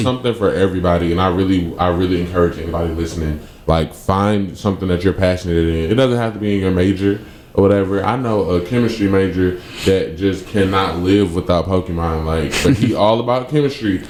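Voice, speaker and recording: Against noticeable background noise, a man talks at a very fast pace in a very deep, low pitch. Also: ordinary pitch variation. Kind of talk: radio talk show discussion. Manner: conversational, casual.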